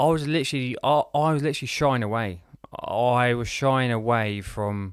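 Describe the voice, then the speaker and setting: A man talks at a moderate pace with a British accent. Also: medium pitch for a man, ordinary pitch variation. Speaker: business and lifestyle coach. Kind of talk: podcast interview. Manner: halting, repeats words.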